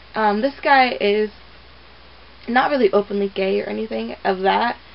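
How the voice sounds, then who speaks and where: Over noticeable background noise, a woman's words come at a moderate pace. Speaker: movie reviewer vlogger. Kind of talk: casual movie review. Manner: casual, filler-heavy.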